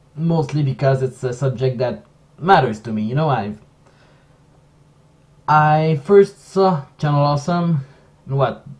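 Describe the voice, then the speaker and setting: In a French accent, a man speaks at a fairly slow pace with long, frequent pauses. His voice is somewhat breathy and fairly high in pitch. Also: ordinary pitch variation. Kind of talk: casual commentary stream.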